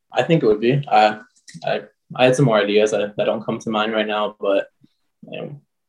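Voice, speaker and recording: A man with an Ontario accent talks at a fairly quick pace in a medium pitch, with ordinary pitch variation and long, frequent pauses. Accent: Canadian (Ontario). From Canada. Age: 20s. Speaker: junior hockey player. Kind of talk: casual chat.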